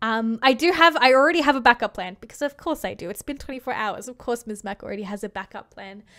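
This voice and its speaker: A high-pitched woman speaks at a fairly quick pace in a bright, sharp tone with lively intonation against a quiet background. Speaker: gaming YouTuber; streamer. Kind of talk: unscripted monologue to camera. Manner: hesitant, pausing; laughs often. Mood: thoughtful, slightly hesitant. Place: home room. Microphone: studio mic.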